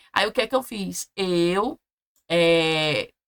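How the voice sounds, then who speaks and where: A woman speaks in a bright, sharp tone. The sound is dry and close, with no echo. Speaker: nursing exam prep teacher. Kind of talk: online class lecture. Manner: casual, with many false starts.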